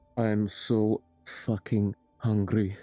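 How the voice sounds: The put-on character voice stays in a monotone with flat intonation. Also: man, fairly low pitch for a man.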